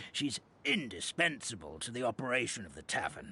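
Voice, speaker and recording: A man uses a put-on character voice and talks at a moderate pace. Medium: video game. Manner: hesitant, fussy, with many ums.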